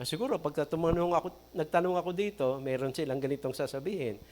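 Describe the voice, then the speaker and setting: Speaking at a very fast pace, a man with a high pitch shows ordinary pitch variation. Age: 60s. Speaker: pastor. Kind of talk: sermon.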